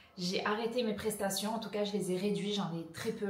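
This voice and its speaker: A woman speaks at a moderate pace in a flat, monotone delivery, with audible room echo and noticeable background noise. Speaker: business coach for fitness professionals. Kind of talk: casual vlog talk.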